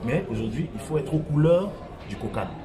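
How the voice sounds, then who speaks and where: Fairly quick speech from a man with ordinary pitch variation, music in the background. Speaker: stadium announcer. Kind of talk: interview answer.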